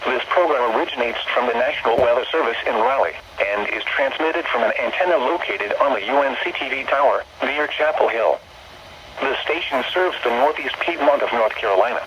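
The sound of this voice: A man's fairly bright voice with lively intonation, a fairly quick pace and audible room echo. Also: medium pitch for a man.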